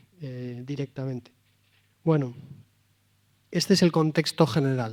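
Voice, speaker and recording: On a very clean recording with a silent background, the voice has a dark, mellow tone and a Valladolid accent. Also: man. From Spain, Valladolid. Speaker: priest and moral theologian. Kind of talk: talk to a live audience. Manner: direct.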